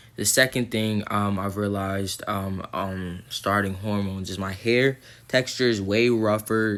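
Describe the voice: At a fairly slow pace, a man talks in a fairly low pitch with a fairly bright tone and little pitch movement.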